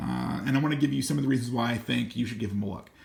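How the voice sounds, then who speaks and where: This man speaks fairly quickly at a medium pitch, with vocal fry in his voice. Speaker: gear reviewer. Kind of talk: product review. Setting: at home. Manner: casual with fillers.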